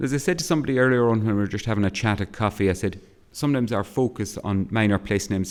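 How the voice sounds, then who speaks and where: A man with an Irish accent speaks at a fairly low pitch with ordinary pitch variation. His pace is very fast. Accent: Cavan. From Ireland, County Cavan. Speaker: academic historian and geographer. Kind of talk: keynote lecture. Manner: hesitant, many fillers and repetitions.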